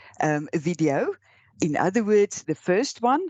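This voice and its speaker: A woman with an Afrikaans accent is captured in a dry, close sound with no echo. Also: quiet background. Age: old. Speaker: law lecturer. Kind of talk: lecture. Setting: recorded online lecture with slides. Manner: halting.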